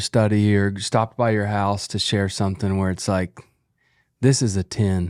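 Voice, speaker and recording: In a very clean recording with a silent background and a dry, close sound with no echo, a man with an unremarkable speaking voice talks at a moderate pace at a fairly low pitch. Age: 30s. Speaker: podcast co-host. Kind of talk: casual chat.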